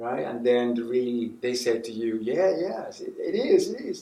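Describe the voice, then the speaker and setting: A man speaks with a Spanish accent. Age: 60s. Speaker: puppeteer and professor. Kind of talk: interview. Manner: halting, with many restarts.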